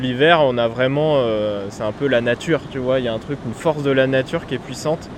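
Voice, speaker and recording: Noticeable background noise beneath a man's fairly quick, medium-pitched speech with fairly even intonation. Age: 20s. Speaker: musician and composer. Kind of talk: casual interview on location. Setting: outdoors by the sea.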